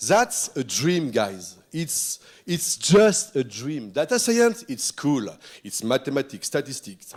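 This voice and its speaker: A man's fairly high voice in a French accent, very slow, with very wide pitch swings. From France. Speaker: futurist keynote speaker. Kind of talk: keynote speech. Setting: stage with audience. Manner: animated.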